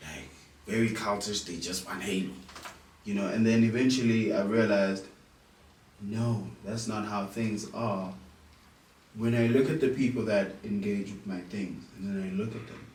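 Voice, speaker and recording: With noticeable background noise and audible room echo, a man with a fairly low pitch talks at a moderate pace in fairly even intonation, leaving long, frequent pauses. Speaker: musician. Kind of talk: interview.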